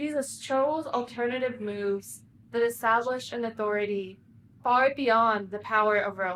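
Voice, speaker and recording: With a fairly high pitch and ordinary pitch variation, a woman speaks at a moderate pace in an unremarkable speaking voice. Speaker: pastor. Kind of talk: sermon.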